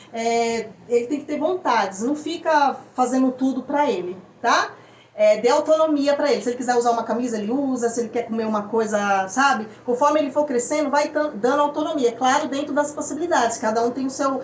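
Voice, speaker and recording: With noticeable background noise behind it, the speech runs at a fairly quick pace with hardly any pauses. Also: woman, high pitch for a woman, ordinary pitch variation. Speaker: parent vlogger. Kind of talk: casual explainer vlog. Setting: at home. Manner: fast.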